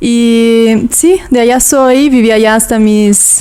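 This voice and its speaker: Speaking with a Brazilian accent, a woman has a fairly high, dark, mellow voice and fairly even intonation. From southern Brazil (Toledo, Paraná). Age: 20s. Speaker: yoga teacher. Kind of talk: casual interview chat.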